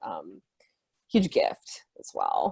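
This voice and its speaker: A woman speaks with an Iranian accent. The sound is dry and close, with no echo. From US, Iranian-American family. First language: Farsi. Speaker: writer, anthology contributor. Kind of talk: panel discussion. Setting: video call. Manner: casual, filler-heavy.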